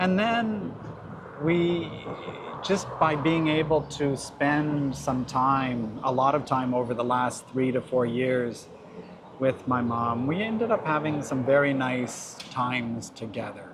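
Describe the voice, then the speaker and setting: A man's medium-pitched voice at a very slow pace, with ordinary pitch variation, audible room echo and noticeable background noise. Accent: Canadian. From Canada. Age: 60s. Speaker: family doctor. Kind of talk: interview.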